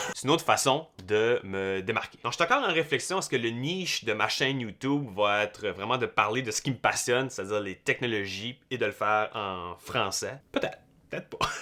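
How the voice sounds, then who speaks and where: Lively intonation and a bright, sharp tone mark this man's delivery, which has hardly any pauses. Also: medium pitch for a man, fairly quick pace. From Canada, New Brunswick (Brayon, Madawaska). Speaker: YouTuber, tech content creator. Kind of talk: casual vlog talk to camera. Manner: relaxed, unscripted.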